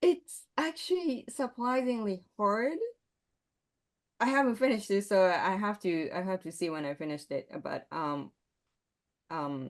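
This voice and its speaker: At a fairly slow pace and medium pitch, a woman with a Japanese accent talks with very wide pitch swings and long, frequent pauses. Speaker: composer. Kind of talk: interview. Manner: halting.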